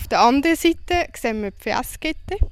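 A woman speaks at a moderate pace. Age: 30s. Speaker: farmer. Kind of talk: interview.

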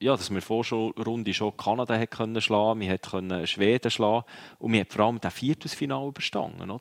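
A man with a Swiss accent talks at a fairly quick pace. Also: medium pitch for a man, ordinary pitch variation, dry, close sound with no echo, very clean recording, silent background. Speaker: ice hockey pundit, former player. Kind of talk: casual chat. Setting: at the world championship venue.

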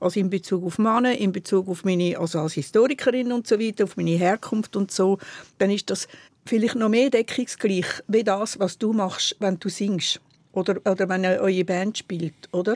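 A woman speaks at a medium pitch with a Swiss accent, at a moderate pace and with ordinary pitch variation. The sound is dry and close with no echo, in a very clean recording with a silent background. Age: 70s. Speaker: historian. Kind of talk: casual chat.

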